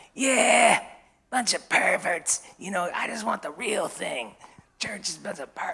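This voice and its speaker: In a put-on character voice with a New York accent, the speaker sounds raspy, with a fairly high pitch at a moderate pace. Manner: gruff, blunt.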